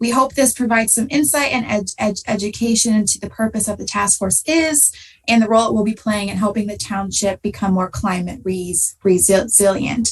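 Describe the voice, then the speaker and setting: A woman with an American accent speaks at a moderate pace in a somewhat breathy voice with ordinary pitch variation. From US Midwest, southern Ohio. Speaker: graduate student. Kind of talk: presentation. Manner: halting.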